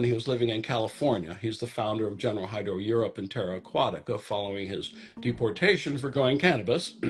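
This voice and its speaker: A man talks at a fairly quick pace in a somewhat breathy voice with ordinary pitch variation. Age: 70s. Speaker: hydroponics company founder. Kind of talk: casual interview. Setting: in a garden among plants.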